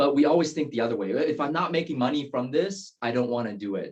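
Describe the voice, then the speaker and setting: This is a man speaking with a Taiwanese accent. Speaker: real estate agent, interview show host. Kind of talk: interview.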